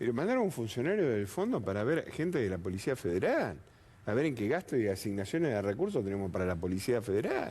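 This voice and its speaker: Speaking at a very fast pace, a man keeps his loudness very even while his pitch swings very widely. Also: medium pitch for a man. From Argentina. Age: 60s. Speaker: political panelist. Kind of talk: TV panel debate.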